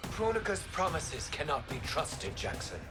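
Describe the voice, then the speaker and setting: A cartoonish character voice talks at a moderate pace. Loud background noise fills the recording. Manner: formal, measured.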